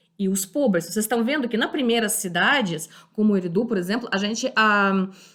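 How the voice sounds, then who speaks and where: The background is silent and the recording very clean. The voice belongs to a woman. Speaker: history teacher. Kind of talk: lecture. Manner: halting, many fillers.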